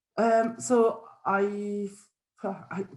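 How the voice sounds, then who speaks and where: A woman speaks with an Italian accent in a dark, mellow tone. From Italy. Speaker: facilitator. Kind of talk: self-introduction.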